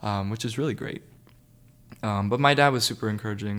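In a very clean recording with a silent background, a man speaks at a fairly low pitch and a fairly quick pace in an ordinary speaking voice with ordinary pitch variation. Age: young. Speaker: college student. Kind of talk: personal testimony.

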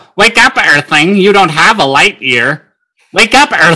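Using a put-on character voice, a man speaks at a high pitch. His pace is fairly slow. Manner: annoying, commanding.

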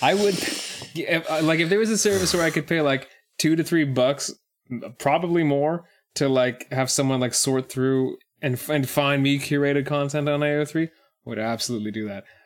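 Using an unremarkable speaking voice, a man talks at a moderate pace with fairly high pitch and ordinary pitch variation. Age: 20s. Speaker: podcast co-host. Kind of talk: casual chat.

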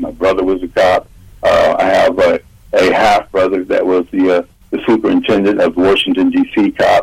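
A man with an American accent at a moderate pace, over noticeable background noise. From Ohio, Columbus area. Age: 60s. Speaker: army veteran and radio host. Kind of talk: radio interview.

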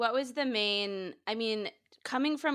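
This woman has a normal speaking voice, fairly high in pitch. Her intonation is lively. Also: very clean recording, silent background. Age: 20s. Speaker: podcast host. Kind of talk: casual interview.

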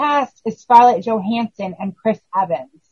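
A somewhat breathy woman's voice at a fairly high pitch, fairly slow pace and ordinary pitch variation. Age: 40s. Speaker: horror podcast co-host. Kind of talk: casual chat.

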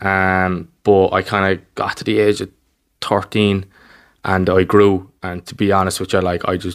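With a Cork accent, a man speaks in a monotone, flat intonation at a very deep, low pitch, on a very clean recording with a silent background. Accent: Cork Irish. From Ireland, Cork north side. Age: 20s. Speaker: basketball coach. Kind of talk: casual interview. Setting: recorded in person.

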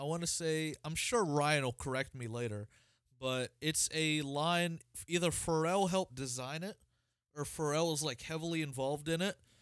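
The recording is very clean with a silent background, capturing an unremarkable speaking voice with an American accent at a moderate pace. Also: man. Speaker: podcast host. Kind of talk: casual chat.

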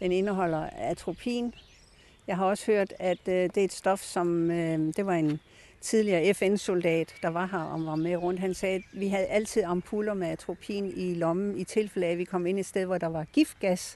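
Against a quiet background, a woman of medium pitch speaks slowly in a dark, mellow tone with fairly even intonation. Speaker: garden guide. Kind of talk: guided tour. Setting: outdoors.

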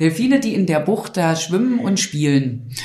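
A woman speaks at a moderate pace with very wide pitch swings, and the room echo is audible. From eastern Germany, near Dessau. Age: 30s. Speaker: city tour guide. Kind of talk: casual interview chat.

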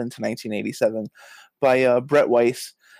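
A man speaks at a very slow pace in a New York accent. The recording is very clean, with a silent background. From Brooklyn, New York. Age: 30s. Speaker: author and journalism educator. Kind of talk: casual interview.

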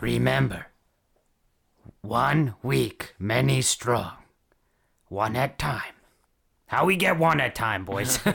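Using a put-on character voice, a raspy-sounding man speaks very slowly at a medium pitch, with very wide pitch swings and long, frequent pauses. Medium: actual play. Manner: broken English, short choppy phrases.

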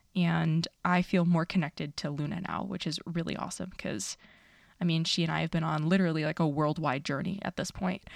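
On a very clean recording with a silent background and a dry, close sound with no echo, a woman speaks at a fairly quick pace with vocal fry. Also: fairly low pitch for a woman. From New York City (Astoria, Queens). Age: 30s. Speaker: dietitian podcast host. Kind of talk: casual solo podcast monologue. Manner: animated.

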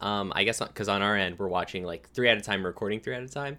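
A man speaks with a bright, sharp tone. The recording is very clean, with a silent background. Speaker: podcast co-host. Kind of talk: casual chat. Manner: excited.

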